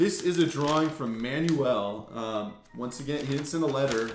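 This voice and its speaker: A man's speech comes with audible room echo and noticeable background noise. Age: 20s. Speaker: YouTuber opening trading card mail. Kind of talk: casual unboxing vlog. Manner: casual, filler-heavy with repeats.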